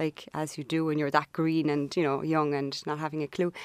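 This voice, with an American accent, moves at a fairly quick pace in a dry, close sound with no echo. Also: woman. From Ireland, Cork. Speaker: business owner, brand storyteller. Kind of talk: casual interview.

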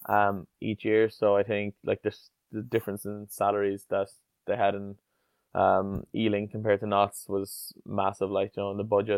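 Speaking at a moderate pace, a man with an Irish accent uses a fairly low pitch and monotone, flat intonation. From Ireland, Tipperary. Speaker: rugby player. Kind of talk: interview. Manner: hesitant, many fillers.

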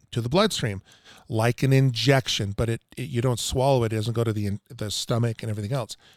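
A man's unremarkable speaking voice at medium pitch and a fairly quick pace, with ordinary pitch variation, dry and close with no echo, on a very clean recording with a silent background. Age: 50s. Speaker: water treatment salesman. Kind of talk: casual chat.

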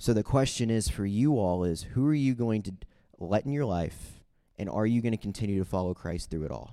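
In a Midwestern American accent, a man speaks at a fairly low pitch with a dark, mellow tone. His pace is fairly quick and his intonation lively. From US Midwest, St. Charles, Missouri. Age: 20s. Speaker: youth speaker. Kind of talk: testimony. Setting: stage with audience. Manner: direct.

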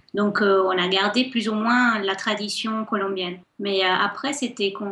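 Female speech over noticeable background noise, with normal pitch movement. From Colombia, Cali. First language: Spanish (speaking French). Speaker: guest. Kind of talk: radio interview.

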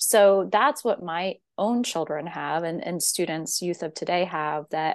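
A woman with a normal speaking voice talks at a fairly slow pace, her pitch fairly low and its variation ordinary, over a quiet background. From US, central Pennsylvania, rural. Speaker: professor of education. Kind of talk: interview conversation.

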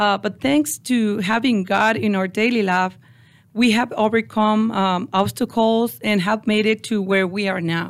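A woman speaks in a Mexican accent at a fairly slow pace and a medium pitch. Her pitch varies in an ordinary way, and her loudness stays very even. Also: very clean recording, silent background. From Mexico (Ciudad Juarez). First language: Spanish. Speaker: construction business owner. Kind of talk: interview. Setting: studio. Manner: halting.

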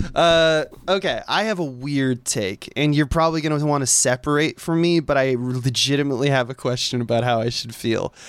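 With a fairly quick pace and ordinary pitch variation, a man's unremarkable speaking voice sits fairly high in pitch in a very clean recording with a silent background. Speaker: guest co-host. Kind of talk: casual chat.

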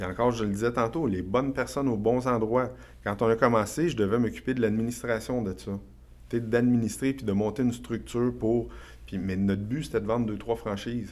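Here a man speaks with a Quebec accent at a fairly quick pace. His pitch is fairly low, with ordinary variation. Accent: Québécois French. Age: 40s. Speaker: real estate investor and entrepreneur. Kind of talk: podcast interview. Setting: studio.

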